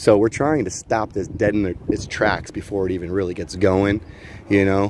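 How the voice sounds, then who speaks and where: Noticeable background noise accompanies a man with an American accent speaking at a moderate pace. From Ohio, US. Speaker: livestreamer, convoy documentarian. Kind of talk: casual street chat. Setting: outdoors on street. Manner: animated.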